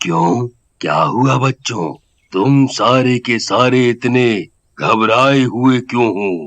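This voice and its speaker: In a cartoonish character voice, a man speaks at a very slow pace with a calm tone, medium pitch, and ordinary pitch variation. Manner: calm, fatherly.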